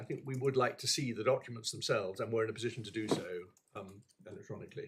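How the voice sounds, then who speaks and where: A very fast delivery in a British accent, with ordinary pitch variation. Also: man, medium pitch for a man. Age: old. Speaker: appeal court judge. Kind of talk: courtroom proceedings. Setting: courtroom. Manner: halting.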